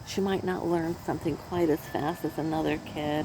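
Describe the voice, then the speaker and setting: A woman with an American accent speaks in a very deep, low voice over noticeable background noise. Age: 70s. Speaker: crafter vlogger. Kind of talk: casual chat. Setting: outdoors. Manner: halting.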